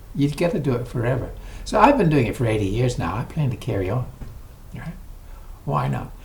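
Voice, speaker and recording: In a room with audible echo, a man with a medium pitch talks at a very fast pace, with very wide pitch swings and long, frequent pauses. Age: 80s+. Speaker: exercise vlogger. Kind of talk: casual vlog talk to camera. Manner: conversational, with hesitations.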